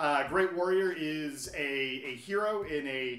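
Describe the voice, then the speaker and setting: A man speaks with ordinary pitch variation amid audible room echo. Faint music plays in the background. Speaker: comic shop staff. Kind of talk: commentary. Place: shop.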